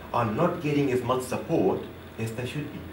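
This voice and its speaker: A man talks in an animated tone. Noticeable background noise and audible room echo surround him. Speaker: public speaker and trainer. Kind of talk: seminar presentation. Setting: seminar room with audience. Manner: fast when excited; animated, interactive.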